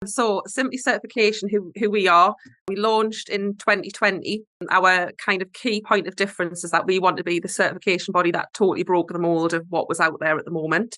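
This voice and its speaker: A woman talks at a fairly quick pace with ordinary pitch variation, in a Geordie accent. Her voice sits at a medium pitch and has a bright, sharp tone. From northeast England. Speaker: certification body representative. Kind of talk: webinar presentation. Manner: hesitant with fillers.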